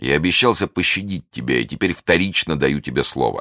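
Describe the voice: Putting on a character voice, a man speaks at an extremely low pitch with a bright, sharp tone, lively intonation and a fairly quick pace.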